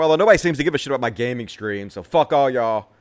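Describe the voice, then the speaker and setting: A man's voice with a Southern US accent and ordinary pitch variation. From US South, Mississippi. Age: 40s. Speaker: political commentator, live streamer. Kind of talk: casual live stream chat. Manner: casual, profane.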